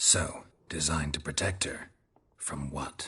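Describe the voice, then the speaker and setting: Delivered at a fairly slow pace, this put-on character voice is raspy and sits at a very deep, low pitch. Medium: video game. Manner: terse, dry, deadpan.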